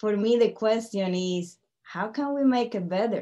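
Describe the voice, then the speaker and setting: A woman with a Colombian accent speaks in a fairly high pitch with a dark, mellow tone. Her pace is fairly slow and her pitch variation ordinary. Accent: Colombian Spanish accent, still noticeable. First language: Spanish. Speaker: tech company CEO and panel speaker. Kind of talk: webinar presentation. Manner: speeds up when excited.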